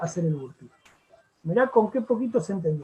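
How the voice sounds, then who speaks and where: A man talks with a high pitch. The intonation he uses is lively. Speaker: fitness instructor teaching a class. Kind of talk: lecture.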